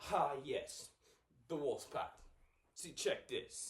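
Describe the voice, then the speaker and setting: A man in a put-on character voice. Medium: stage play. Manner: sassy, dramatic.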